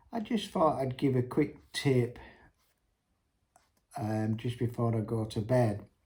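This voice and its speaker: Very slow in pace, the speech carries ordinary pitch variation and is broken by long, frequent pauses. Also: man, medium pitch for a man. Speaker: entrepreneur vlogger. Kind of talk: unscripted business tips monologue. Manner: hesitant, many ums.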